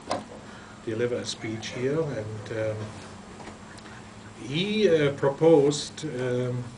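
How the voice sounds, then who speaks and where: A man with a German accent speaks at a medium pitch and a very slow pace, with lively intonation and long, frequent pauses, amid audible room echo and noticeable background noise. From Germany. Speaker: rabbi and retired philosophy professor. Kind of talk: lecture. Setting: yeshiva study hall. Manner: halting.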